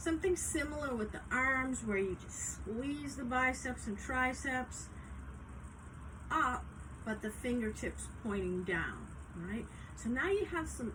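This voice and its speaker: A woman's fairly slow speech with long, frequent pauses, audible room echo and noticeable background noise. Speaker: yoga instructor. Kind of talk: guided yoga class instruction.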